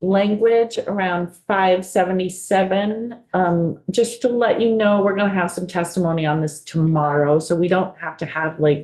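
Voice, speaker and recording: A woman speaks with a Buffalo accent at medium pitch. Her pace is fairly slow, with ordinary pitch variation. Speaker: committee chair. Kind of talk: committee meeting.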